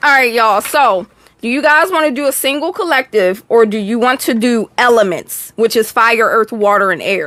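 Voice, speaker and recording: Her tone is bright and sharp, pitched fairly high with lively intonation. The woman keeps a moderate pace. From Texas. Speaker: tarot reader. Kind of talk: live stream tarot reading. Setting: live stream. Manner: casual, chatty.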